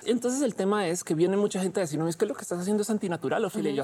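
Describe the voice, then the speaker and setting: A woman with a medium-pitched, dark, mellow tone talks very fast, her pitch swinging very widely. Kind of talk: heated debate.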